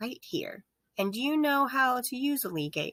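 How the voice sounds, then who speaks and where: At a moderate pace, a female-sounding put-on character voice speaks at a high pitch. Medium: read story. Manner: flat, matter-of-fact.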